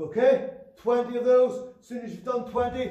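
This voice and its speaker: Some echo from the room can be heard as a man talks. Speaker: fitness trainer. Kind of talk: tutorial. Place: gym. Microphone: camera far.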